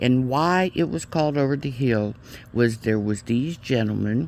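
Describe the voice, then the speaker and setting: The speaker moves at a very slow pace with lively intonation. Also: man. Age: 60s. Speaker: YouTuber and licensed counselor. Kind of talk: casual vlog monologue. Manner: halting, with fillers and restarts.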